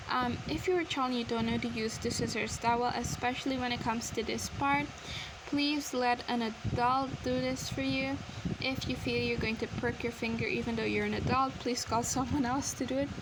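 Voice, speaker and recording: A woman talks at a moderate pace with very even loudness, with noticeable background noise and audible room echo. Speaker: craft tutorial creator. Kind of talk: tutorial. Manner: casual, chatty.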